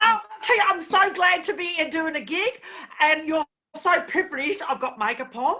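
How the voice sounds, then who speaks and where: Raising and projecting her voice, a woman speaks at an extremely high pitch with lively intonation. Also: moderate pace. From Australia, Melbourne (born Birmingham, England, moved at nine). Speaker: stand-up comedian. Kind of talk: stand-up.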